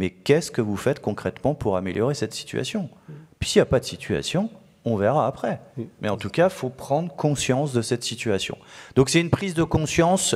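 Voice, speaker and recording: A man's pitch swings very widely as he talks fairly quickly. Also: medium pitch for a man. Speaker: chartered accountant and auditor. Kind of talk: conference workshop presentation. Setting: conference hall with audience. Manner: halting, many hesitations.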